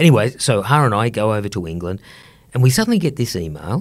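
A somewhat breathy man with an Australian accent and very wide pitch swings. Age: 50s. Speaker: economics professor. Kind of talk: casual interview.

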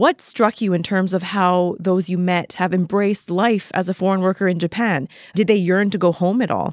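With a plain, everyday voice at medium pitch, a woman talks at a moderate pace with hardly any pauses and very even loudness, in a very clean recording with a silent background and a dry, close sound with no echo. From Vancouver, Canada. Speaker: podcast host. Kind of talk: interview.

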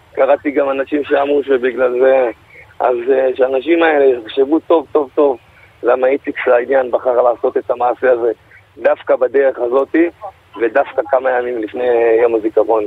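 Long, frequent pauses break up this man's speech, delivered at medium pitch with fairly even intonation and very even loudness. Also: moderate pace. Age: 20s. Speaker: interview guest. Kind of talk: radio interview. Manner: halting.

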